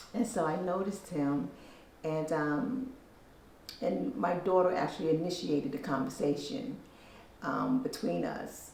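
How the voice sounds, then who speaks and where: A woman's fairly low voice, fairly slow, with long, frequent pauses and very wide pitch swings, amid noticeable background noise and audible room echo. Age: 60s. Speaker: hospital administration worker. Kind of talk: interview. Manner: hesitant, many fillers.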